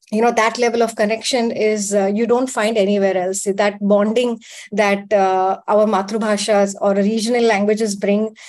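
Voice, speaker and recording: Over a quiet background, a woman with a Gujarati accent speaks at a moderate pace in a flat, monotone voice with very even loudness. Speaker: panelist. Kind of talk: panel debate. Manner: hesitant, many fillers.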